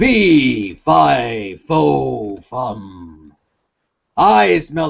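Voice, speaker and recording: This is a put-on character voice pitched low. It makes very wide pitch swings. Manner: booming proclamation.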